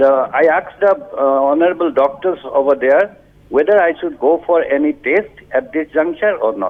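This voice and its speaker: Lively intonation marks this man's high voice as he talks at a moderate pace. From Assam, India. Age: 60s. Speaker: caller. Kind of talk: phone-in question. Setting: phone call. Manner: halting.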